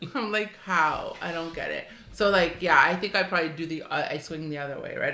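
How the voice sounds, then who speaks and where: Delivered at a fairly quick pace with hardly any pauses, the speech comes through with audible room echo and noticeable background noise. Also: woman. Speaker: podcast co-host. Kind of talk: casual chat. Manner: fast; chatty.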